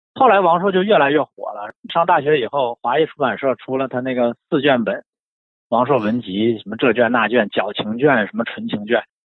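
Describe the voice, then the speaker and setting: A man's ordinary speaking voice at a medium pitch, with lively intonation. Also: moderate pace. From Shenyang, northeast China. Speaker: book collector and writer. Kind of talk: casual chat about books.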